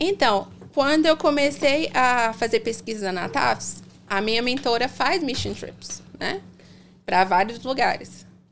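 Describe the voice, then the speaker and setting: The voice has vocal fry and lively intonation at a very slow pace. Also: woman, fairly high pitch for a woman. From Brazil, Salvador (Bahia). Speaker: dentist. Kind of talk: casual interview.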